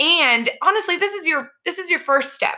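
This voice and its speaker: A woman speaks with a bright, sharp tone. Her voice is raised and projected. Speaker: pre and postnatal fitness coach. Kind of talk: educational podcast monologue.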